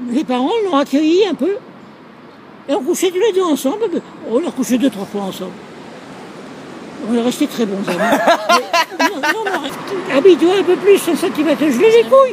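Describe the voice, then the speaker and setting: Against noticeable background noise, a man with an extremely high pitch and very wide pitch swings speaks at a fairly slow pace with long, frequent pauses. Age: 80s+. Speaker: elderly man telling his life story. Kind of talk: casual street conversation. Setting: outdoors. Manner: rambling, blunt.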